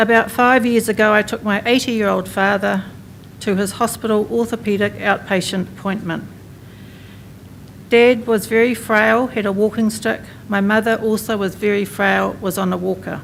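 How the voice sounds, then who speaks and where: At a moderate pace, a woman speaks with a New Zealand accent and monotone, flat intonation. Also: medium pitch for a woman. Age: 60s. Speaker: mental health professional and patient advocate. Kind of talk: conference speech.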